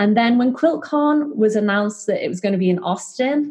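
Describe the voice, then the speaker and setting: A woman with a fairly high, somewhat breathy voice talks at a fairly quick pace, her pitch swinging very widely. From northwest England, Liverpool. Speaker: fabric shop owner. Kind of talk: interview conversation. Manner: hesitant, many fillers.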